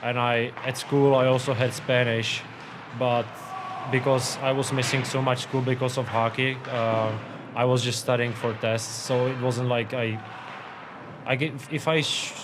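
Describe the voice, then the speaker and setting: A man of medium pitch with a Czech accent talks at a fairly slow pace in a monotone, flat intonation, with long, frequent pauses, audible room echo and noticeable background noise. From Czech Republic. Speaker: professional hockey goalie. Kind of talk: interview. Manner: halting, many fillers and repeats.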